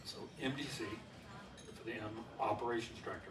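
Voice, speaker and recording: With noticeable background noise and audible room echo, a man talks at a fairly quick pace, keeping a medium pitch and monotone, flat intonation. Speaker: former space center engineer. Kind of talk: lecture. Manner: fast; casual.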